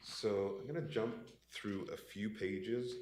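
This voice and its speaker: A somewhat breathy male voice with lively intonation and audible room echo. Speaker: investment consultant presenting to pension board. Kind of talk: business presentation. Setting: in-person meeting room. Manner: many filler words (uh).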